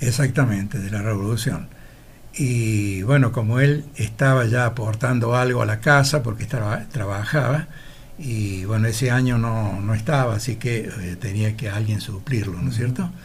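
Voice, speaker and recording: A man's medium-pitched, somewhat breathy voice at a moderate pace, with ordinary pitch variation and audible room echo. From Argentina, Laguna Larga, Córdoba. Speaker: retired teacher. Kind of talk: interview.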